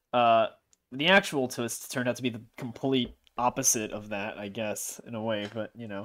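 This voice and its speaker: At a moderate pace and medium pitch, a man speaks with ordinary pitch variation and big swings in loudness on a very clean recording with a silent background. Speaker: gaming YouTuber. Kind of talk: reaction commentary. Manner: louder when talking freely; animated.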